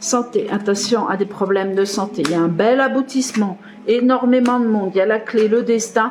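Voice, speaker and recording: With noticeable background noise behind her, a woman speaks at a moderate pace and fairly high pitch, her intonation fairly even. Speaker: tarot card reader. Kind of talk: tarot reading video. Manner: casual, hesitant.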